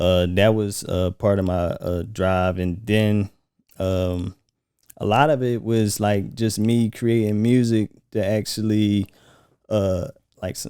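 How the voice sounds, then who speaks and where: A soft-spoken man talks at a very slow pace with a fairly low pitch and a dark, mellow tone. His intonation is fairly even, on a very clean recording with a silent background. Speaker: musician. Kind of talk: casual chat. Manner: soft-spoken, calm and laid back.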